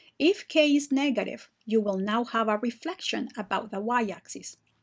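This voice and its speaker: A woman speaks with a plain, everyday voice, fairly high pitch and ordinary pitch variation at a moderate pace. The recording is very clean, with a silent background. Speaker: math teacher. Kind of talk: tutorial.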